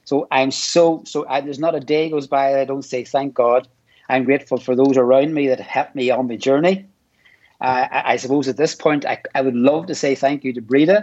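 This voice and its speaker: With an Irish accent, the speaker talks at a fairly quick pace. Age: old. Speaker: amateur triathlete. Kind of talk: interview. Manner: halting.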